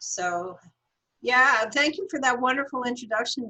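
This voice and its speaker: Her tone comes across bright and sharp. This woman keeps to a moderate pace. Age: 70s. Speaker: science journalist and author. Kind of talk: interview.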